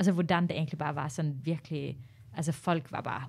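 Recorded very cleanly with a silent background, a woman speaks in a very deep, low voice that is somewhat breathy, at a moderate pace. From Norway, Tamil Sri Lankan parents. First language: Norwegian (speaking Danish). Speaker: stand-up comedian. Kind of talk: casual chat.

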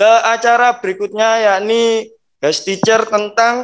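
Against a quiet background, a man with a high pitch speaks at a fairly slow pace. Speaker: school teacher acting as emcee. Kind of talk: formal event moderating. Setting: video call. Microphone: video call.

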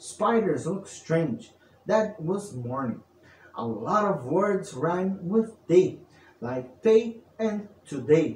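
In a playful, sing-song way, a man talks at a very slow pace with very wide pitch swings, with audible room echo and light background noise. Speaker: storyteller. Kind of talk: bedtime story narration, read aloud in a storyteller's voice. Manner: theatrical, archaic-flavoured storyteller delivery; playful, sing-song rhyming cadence. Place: home room.

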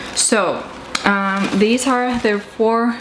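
A woman talks while noticeable noise sits in the background. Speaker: vlogger. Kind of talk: casual vlog chat. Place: home room. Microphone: camera far.

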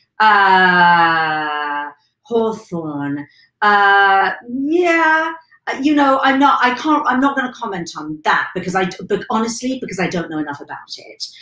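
A woman's medium-pitched voice with a bright, sharp tone and very wide pitch swings, at a fairly slow pace, with audible room echo and a quiet background. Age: 50s. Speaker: weight management coach. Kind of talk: live stream monologue. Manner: animated. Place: home room.

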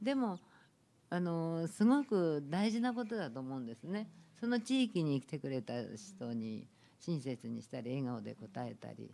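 This woman's voice is fairly low in pitch, with a dark, mellow tone. She talks fairly slowly, her pitch swinging very widely. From Japan, not originally Ishikawa. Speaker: ryokan proprietress. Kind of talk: panel discussion. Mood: warm, animated. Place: meeting room. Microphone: studio mic.

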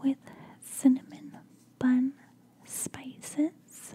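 Dark and mellow in tone, the voice keeps a monotone, flat intonation. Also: woman. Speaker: product reviewer. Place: home room. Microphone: studio mic.

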